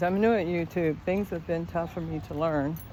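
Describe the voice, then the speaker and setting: A woman with a fairly low pitch talks at a moderate pace with ordinary pitch variation, and audible room echo surrounds her voice. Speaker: vlogger. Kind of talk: casual chat. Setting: outdoors. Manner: loud.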